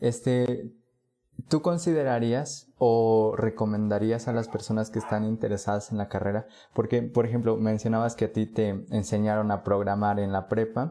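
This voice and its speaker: This man's voice has a medium pitch and a dark, mellow tone. His pitch varies in an ordinary way. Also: moderate pace. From Puebla, Mexico. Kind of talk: casual interview.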